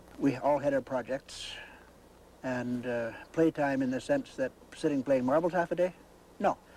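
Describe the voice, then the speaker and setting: The speaker is a man with a dark, mellow tone. He moves at a moderate pace. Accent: Canadian. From British Columbia, Canada. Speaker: homesteader's son. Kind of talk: interview. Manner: halting.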